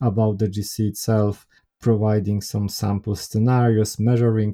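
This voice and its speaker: A man with a Polish accent, fairly low pitch and a dark, mellow tone, at a moderate pace in a dry, close sound with no echo. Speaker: software developer and consultant. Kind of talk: interview. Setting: remote call.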